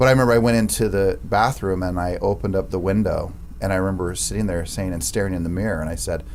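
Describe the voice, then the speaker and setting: The speech comes at a very fast pace with audible room echo. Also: man. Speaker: real estate franchise owner. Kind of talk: podcast interview. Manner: loud.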